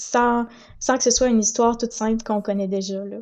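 This woman's voice is fairly high in pitch. Her intonation stays flat and monotone. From Quebec (Saint-Hyacinthe, Montérégie). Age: 20s. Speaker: audiobook narrator. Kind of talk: interview.

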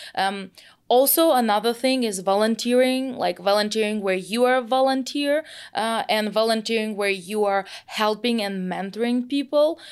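A woman speaks at a moderate pace with a fairly high pitch and ordinary pitch variation, recorded very cleanly against a silent background. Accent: Russian. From Russia, Moscow. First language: Russian. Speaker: product manager in logistics tech. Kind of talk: podcast interview.

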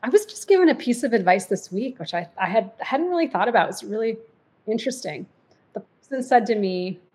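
A woman talks at a fairly quick pace with a fairly high, somewhat breathy voice. Her pitch swings very widely and her loudness swings a lot too. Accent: General American. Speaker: diversity and inclusion executive, podcaster. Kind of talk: casual interview chat.

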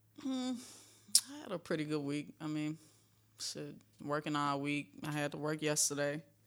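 A woman's very deep, low voice at a moderate pace, with ordinary pitch variation and long, frequent pauses. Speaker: guest co-talker. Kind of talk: casual chat, banter.

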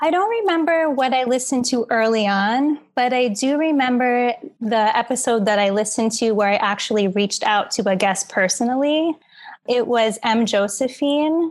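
On a very clean recording with a silent background, a woman with an American accent speaks at a moderate pace, her high pitch showing ordinary variation. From New York, Queens. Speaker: dancer and author. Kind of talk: interview.

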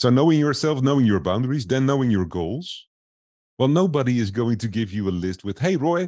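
Spoken in a non-native accent, the voice has a dark, mellow tone, lively intonation and a fairly quick pace. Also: man. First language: not English. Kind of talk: casual interview.

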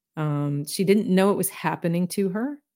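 With an American accent, a woman speaks at a moderate pace in a dark, mellow tone, her pitch varying in an ordinary way. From US South. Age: 60s. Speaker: intuitive healer and author. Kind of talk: casual chat.

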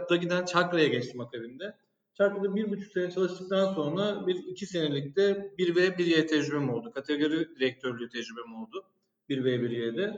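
With lively intonation, a high-pitched man talks at a fairly quick pace. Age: 30s. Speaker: e-commerce director. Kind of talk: casual interview.

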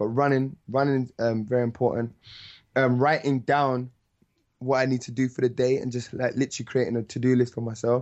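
A man's medium-pitched voice in a London accent, monotone and flat. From London (North London). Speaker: musician and rapper. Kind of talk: interview.

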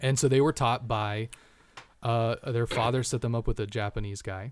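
A man speaks at a moderate pace with an unremarkable speaking voice. His pitch is medium, with ordinary pitch variation. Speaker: martial arts instructor. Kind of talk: casual chat. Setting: studio.

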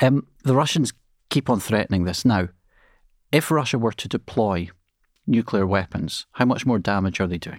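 With a Scottish accent, a man with a fairly low pitch and ordinary pitch variation speaks at a moderate pace with long, frequent pauses, in a dry, close sound with no echo on a very clean recording with a silent background. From Scotland. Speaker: international relations professor, former MP. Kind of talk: podcast interview.

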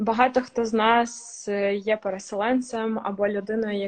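A woman talks at a medium pitch. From Ukraine, Kherson. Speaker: communications strategist. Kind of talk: casual chat. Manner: hesitant with fillers.

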